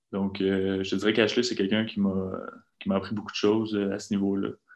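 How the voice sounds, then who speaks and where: A man's fairly low voice at a moderate pace, monotone with flat intonation. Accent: Quebec. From Quebec. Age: 20s. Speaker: professional basketball player. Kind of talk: interview.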